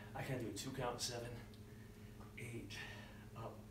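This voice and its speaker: A man at a moderate pace, with audible room echo and noticeable background noise. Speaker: fitness trainer. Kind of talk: workout tutorial. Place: gym. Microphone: camera far.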